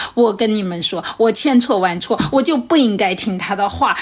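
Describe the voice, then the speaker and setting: Over noticeable background noise, a woman talks at a moderate pace in a fairly high pitch, her intonation lively and her tone animated. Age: 40s. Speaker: podcast host and comedian. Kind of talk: casual chat.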